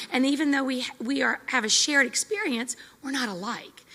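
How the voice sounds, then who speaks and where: Raised and projected, a woman's high-pitched voice keeps a moderate pace with ordinary pitch variation. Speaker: military spouse session leader. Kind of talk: group discussion. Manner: loud.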